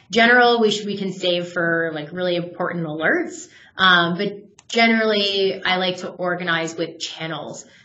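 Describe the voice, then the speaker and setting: A woman's medium-pitched voice, fairly even in intonation, with hardly any pauses and noticeable background noise. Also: moderate pace. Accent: American. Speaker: software product manager. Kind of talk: webinar product demo. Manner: casual with fillers.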